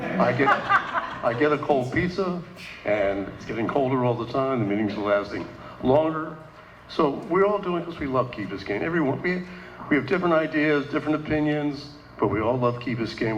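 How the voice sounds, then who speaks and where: The voice moves at a fairly quick pace with lively intonation. Audible room echo and noticeable background noise fill the recording. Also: man. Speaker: village council member and candidate. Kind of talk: candidate forum speech. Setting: condominium meeting room with audience. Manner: loud.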